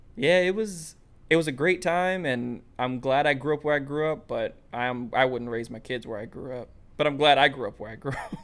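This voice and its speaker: On a very clean recording with a silent background, a man with a New York accent and a fairly high pitch talks at a moderate pace with ordinary pitch variation. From US Northeast, Brooklyn, New York. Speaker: podcast host. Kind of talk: casual chat.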